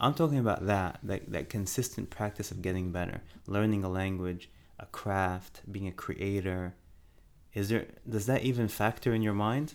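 At a moderate pace, a man talks in a plain, everyday voice, his pitch fairly low with ordinary variation. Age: 40s. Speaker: podcast co-host, father. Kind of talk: casual chat.

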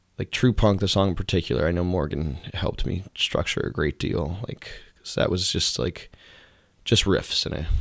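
A man's very deep, low voice with vocal fry, at a moderate pace with ordinary pitch variation. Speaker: musician. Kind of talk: casual interview. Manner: halting, many fillers.

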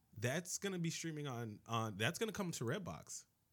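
On a very clean recording with a silent background, a man with an American accent speaks at a fairly quick pace. His tone is animated, bright and sharp, with very wide pitch swings. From Miami, Florida. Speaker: podcast host. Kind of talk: casual chat.

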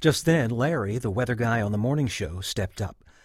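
Text read aloud in a plain way

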